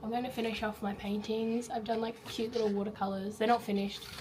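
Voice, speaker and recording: Noticeable background noise comes through as a woman with an Australian accent speaks. Her pitch is fairly high and her pace fairly quick. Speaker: teacher. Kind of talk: casual vlog talk to camera.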